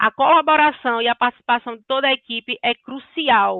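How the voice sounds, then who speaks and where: An ordinary speaking voice at a moderate pace. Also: woman. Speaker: sales consultant. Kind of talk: business training talk.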